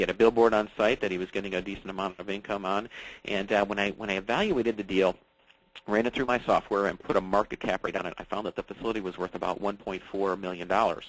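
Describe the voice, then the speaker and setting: A man's fairly low voice, very fast and monotone with flat intonation. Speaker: real estate investor and educator. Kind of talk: webinar presentation. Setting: online webinar.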